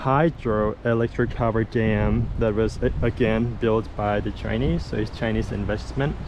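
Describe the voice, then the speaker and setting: A man at a fairly slow pace, against noticeable background noise. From Laos. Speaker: travel vlogger, former monk. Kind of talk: casual travel vlog talk to camera. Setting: outdoors.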